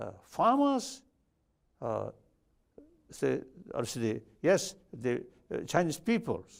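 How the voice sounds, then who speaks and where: A man speaks at a very slow pace with a Tibetan accent. He leaves long, frequent pauses. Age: 70s. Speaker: spiritual leader. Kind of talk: interview answer.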